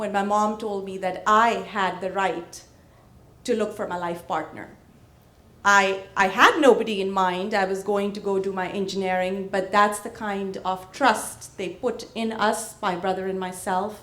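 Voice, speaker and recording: Speaking in a medium pitch, a woman has a bright, sharp tone. Her pace is fairly slow, and her intonation is monotone and flat. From India (Punjab). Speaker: real estate business owner. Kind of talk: panel discussion.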